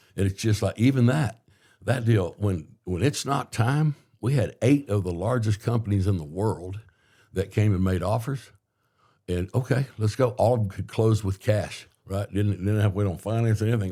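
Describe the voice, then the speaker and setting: A man's fairly low, dark, mellow voice, somewhat breathy, at a moderate pace with ordinary pitch variation, on a very clean recording with a silent background. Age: 60s. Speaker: entrepreneur and mayoral candidate. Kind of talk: podcast interview. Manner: halting, self-correcting.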